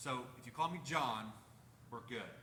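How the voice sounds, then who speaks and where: A man's voice carries audible room echo. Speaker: paramedic and EMS educator. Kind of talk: presentation to a community meeting. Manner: casual, joking.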